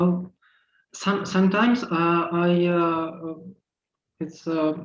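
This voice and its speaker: A man's high-pitched voice in a Russian accent, very slow pace, fairly even intonation. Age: 40s. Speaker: transgender activist panelist. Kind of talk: casual pre-event chat. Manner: halting, many fillers. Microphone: unstable internet connection.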